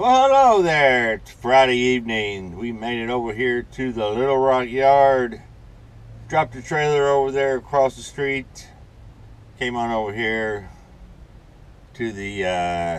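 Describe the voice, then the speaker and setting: The man speaks at a fairly slow pace with ordinary pitch variation. Long, frequent pauses break up his speech. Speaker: truck driver vlogger. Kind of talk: casual vlog chat. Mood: relaxed, winding down. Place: car. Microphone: phone near.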